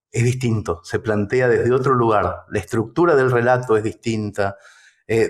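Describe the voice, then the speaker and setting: A man with a Rioplatense accent speaks at a fairly slow pace in a medium pitch. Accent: Argentine Rioplatense Spanish. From Mercedes, Buenos Aires, Argentina. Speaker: writer and storyteller. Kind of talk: interview answer.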